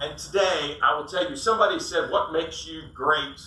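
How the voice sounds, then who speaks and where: A man's high-pitched voice at a moderate pace, with audible room echo and noticeable background noise. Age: 60s. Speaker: sales coach and business owner. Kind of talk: business talk to audience.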